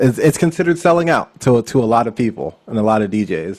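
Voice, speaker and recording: A man with an American accent talks in a plain, everyday voice at a medium pitch. His intonation is lively and his pace fairly quick. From Pennsylvania, Lancaster County. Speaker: wedding DJ. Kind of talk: casual interview chat. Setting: remote recording.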